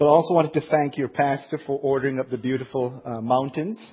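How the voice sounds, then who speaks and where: A man speaks with fairly even intonation. Noticeable background noise runs beneath him. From Jamaica. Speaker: pastor. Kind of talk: sermon. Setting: church.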